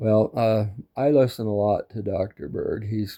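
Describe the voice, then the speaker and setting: Over a quiet background, a man talks fairly slowly in a fairly low voice with a dark, mellow tone. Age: 60s. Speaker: YouTuber talking about his diet. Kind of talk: casual monologue to camera. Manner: hesitant, with fillers.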